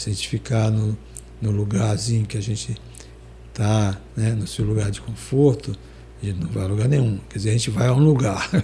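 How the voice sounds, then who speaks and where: A man at a fairly low pitch with ordinary pitch variation, a moderate pace and long, frequent pauses, over noticeable background noise. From Maranhão, Brazil. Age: 70s. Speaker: singer-songwriter. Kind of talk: interview. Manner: hesitant, many fillers.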